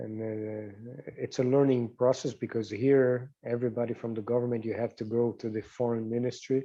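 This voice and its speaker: A man with a Portuguese accent at a medium pitch, dark and mellow in tone, monotone and flat in intonation, at a moderate pace. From Brazil, São Paulo. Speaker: diplomat. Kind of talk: interview.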